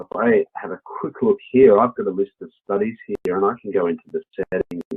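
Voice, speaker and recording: With an Australian accent, the speaker keeps a moderate pace with hardly any pauses and big swings in loudness. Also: man. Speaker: software product specialist. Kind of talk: webinar software demo. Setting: online webinar.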